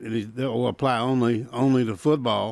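A man with a Southern US accent speaks at a medium pitch in a flat, monotone delivery. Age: 70s. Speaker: sports radio co-host. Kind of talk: casual sports talk radio chat. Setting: radio studio.

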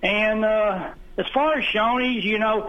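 A man with a high pitch and a Southern US accent at a fairly slow pace. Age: 60s. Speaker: radio caller. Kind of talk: call-in reminiscing. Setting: phone call. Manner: halting.

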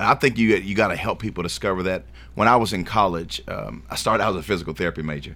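With a Tennessee accent, a man speaks at a very fast pace in a very deep, low pitch, with lively intonation and vocal fry. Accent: Southern US (Tennessee). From Shelbyville, Tennessee. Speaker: school board candidate. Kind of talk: radio interview.

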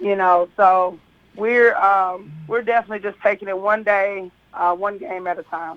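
A woman with an American accent, medium pitch and moderate pace. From Kentucky. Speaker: girls' high school basketball coach. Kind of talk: radio interview.

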